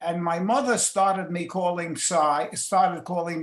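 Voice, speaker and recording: A man speaks with a high pitch in a New York accent. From New York City. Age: 90s. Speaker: retiree interviewee. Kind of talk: interview. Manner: halting.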